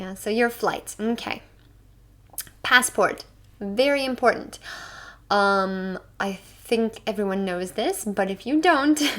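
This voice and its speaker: A woman with an American accent speaks at a very slow pace in a fairly high voice, leaving long, frequent pauses. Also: lively intonation. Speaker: English teacher. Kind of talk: online English lesson.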